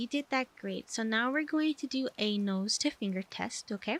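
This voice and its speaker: A soft-spoken, gentle-toned voice with lively intonation at a moderate pace, dry and close with no echo. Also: woman. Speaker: ASMR roleplay doctor (VTuber). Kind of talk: medical exam roleplay ASMR, personal attention.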